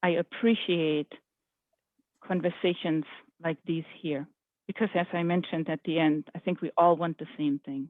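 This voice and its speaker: This is a woman speaking. She has a European accent. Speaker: government project official. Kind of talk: public meeting Q&A. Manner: halting.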